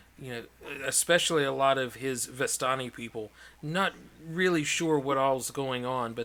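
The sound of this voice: The reading voice is unforced, and its pitch moves in an ordinary way.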